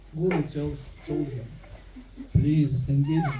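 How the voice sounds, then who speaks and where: Over noticeable background noise and audible room echo, a man with a fairly high pitch speaks at a fairly slow pace in fairly even intonation. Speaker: temple speaker. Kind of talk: religious lecture. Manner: monotone; halting.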